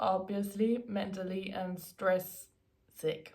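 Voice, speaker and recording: A woman speaks very slowly in a medium pitch, with a German accent. Her voice is somewhat breathy. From Germany. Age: 20s. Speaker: content creator and athlete. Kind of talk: casual Q&A vlog.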